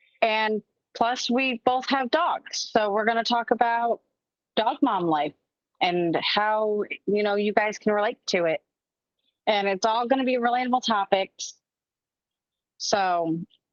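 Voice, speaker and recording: Long, frequent pauses break up fairly slow speech with ordinary pitch variation. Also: woman, fairly high pitch for a woman, dry, close sound with no echo. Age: 30s. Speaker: podcast co-host. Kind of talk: casual chat.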